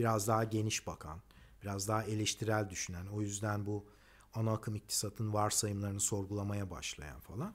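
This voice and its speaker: A man speaks at a moderate pace in a fairly low voice, his intonation fairly even. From Turkey. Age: 50s. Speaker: economist and engineer. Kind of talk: personal monologue; personal talk, monologue. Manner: hesitant, many fillers. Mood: calm, critical, reflective. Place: garden. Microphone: phone near.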